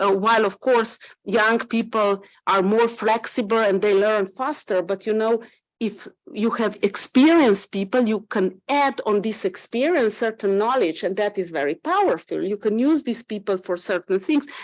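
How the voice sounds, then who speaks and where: A woman talks with a fairly high pitch, ordinary pitch variation and a moderate pace. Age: 60s. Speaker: government health official. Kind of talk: panel discussion. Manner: halting.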